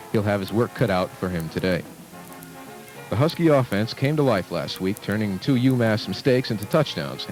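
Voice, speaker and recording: A man with a fairly low voice speaks at a moderate pace with lively intonation while music plays in the background. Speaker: college radio sports announcer. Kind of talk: sports broadcast football preview.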